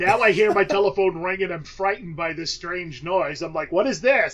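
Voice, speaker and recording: At a moderate pace, a man with a high pitch and ordinary pitch variation speaks over noticeable background noise. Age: 30s. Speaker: podcast host. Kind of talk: casual chat.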